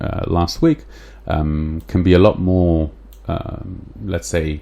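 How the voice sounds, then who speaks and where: In an English accent, a man speaks with a very deep, low pitch and lively intonation. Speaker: podcast host. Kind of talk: solo podcast talk, explaining a book. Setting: live stream with chat. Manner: hesitant, many fillers.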